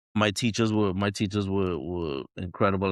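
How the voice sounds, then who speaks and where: A man with a Trinidadian accent speaks at a very deep, low pitch and a fairly quick pace. His intonation is fairly even, and the background is quiet. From Trinidad and Tobago. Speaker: jazz trumpeter. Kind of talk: podcast interview.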